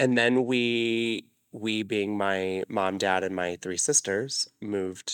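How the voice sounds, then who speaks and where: Very slow speech with an American accent and fairly even intonation, dry and close with no echo on a very clean recording with a silent background. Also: man, hardly any pauses. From Arizona. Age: 20s. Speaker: dancer and choreographer. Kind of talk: casual chat.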